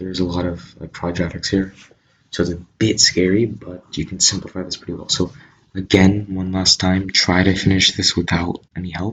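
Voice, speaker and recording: In a very deep, low voice that is somewhat breathy, a man speaks at a moderate pace with monotone, flat intonation. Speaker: math tutor. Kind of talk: tutorial. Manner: casual, hesitant with fillers.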